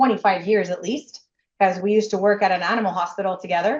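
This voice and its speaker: With a Quebec accent, a woman talks at a medium pitch with ordinary pitch variation. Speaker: nurse and franchisee. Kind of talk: interview. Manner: loud.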